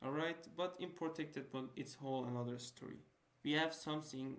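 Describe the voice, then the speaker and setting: A man with a non-native accent speaks at a fairly high pitch. Room echo is audible. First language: not English. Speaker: student tutor. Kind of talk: lecture. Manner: halting; casual.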